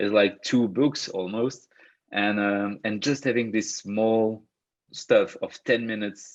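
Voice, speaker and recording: Against a quiet background, a man talks with a Belgian French accent at a moderate pace. His pitch is fairly low and his intonation fairly even. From Belgium. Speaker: personal growth coach. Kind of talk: online workshop talk. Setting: video call. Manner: hesitant, many fillers and repetitions.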